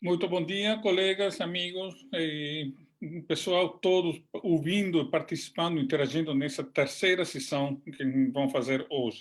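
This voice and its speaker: A man's high-pitched voice comes at a fairly slow pace. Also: ordinary pitch variation. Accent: Italian. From southern Italy. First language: Italian (speaking Portuguese). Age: 60s. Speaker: agronomist, international development expert. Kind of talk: webinar lecture. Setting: online webinar. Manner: halting, many hesitations.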